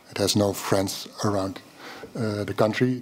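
Speaking with a Dutch accent, a man keeps a fairly slow pace. His medium-pitched voice has fairly even intonation. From Netherlands. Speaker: journalist. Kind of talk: panel discussion. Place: hall. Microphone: podium.

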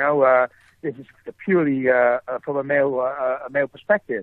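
With a Dutch accent, a man speaks at a fairly high pitch. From Netherlands. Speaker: film writer-director. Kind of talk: interview. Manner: halting, many fillers and repetitions.

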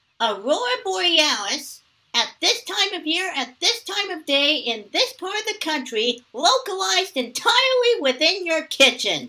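A man performs a cartoonish character voice at an extremely high pitch. His pitch swings very widely at a moderate pace, with hardly any pauses. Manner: gruff, dry, suspicious.

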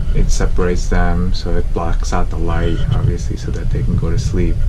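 Loud background noise surrounds the recording. A man speaks over it at a moderate pace. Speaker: family travel vlogger. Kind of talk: casual vlog chat. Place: home room. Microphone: phone near.

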